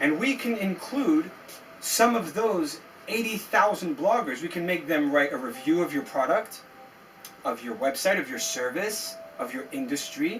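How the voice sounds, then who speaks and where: A high-pitched man with an American accent and very wide pitch swings, over noticeable background noise. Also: moderate pace. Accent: sounds American. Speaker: SEO agency founder. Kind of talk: tutorial. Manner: animated.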